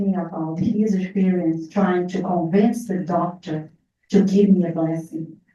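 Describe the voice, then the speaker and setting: A woman speaks at a medium pitch with a dark, mellow tone and a Portuguese accent. Her voice is somewhat breathy. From Brazil. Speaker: near-death experience survivor. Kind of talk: testimony with Q&A. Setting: in-person group meeting, also on video call.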